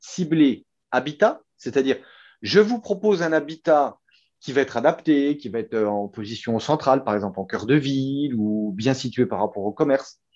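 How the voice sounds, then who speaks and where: A man with a Franche-Comté accent. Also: quiet background. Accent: Franche-Comté regional French. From France, Franche-Comté. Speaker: company co-founder. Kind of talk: interview. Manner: hesitant, many fillers and repeats.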